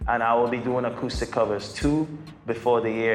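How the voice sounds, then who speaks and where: A man with a Trinidadian accent, medium-pitched and fairly even in intonation, at a moderate pace, with audible room echo and music in the background. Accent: Trinidadian island. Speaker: singer and YouTuber. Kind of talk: Q&A vlog, casual talk to viewers.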